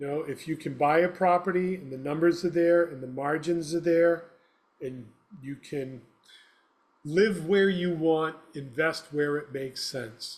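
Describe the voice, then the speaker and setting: A man with a normal speaking voice and a fairly high pitch talks at a fairly slow pace with fairly even intonation. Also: big swings in loudness. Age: 60s. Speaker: property manager. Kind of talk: interview.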